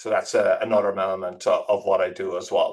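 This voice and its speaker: A man with an Irish accent at a fairly quick pace. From Ireland, rural Tipperary. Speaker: tech executive. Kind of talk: interview. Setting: podcast.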